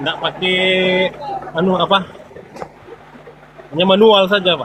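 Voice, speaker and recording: With a North Sulawesi accent, a man talks in a high pitch and fairly even intonation over noticeable background noise. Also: moderate pace. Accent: Manado accent, stiff Indonesian. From Manado, North Sulawesi, Indonesia. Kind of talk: call-in debate. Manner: halting.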